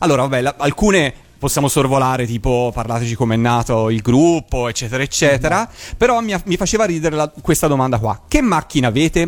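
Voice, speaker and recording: Very fast, lively speech from a man with a fairly high pitch. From Italy, Florence. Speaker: radio host. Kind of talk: live radio interview. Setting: remote call.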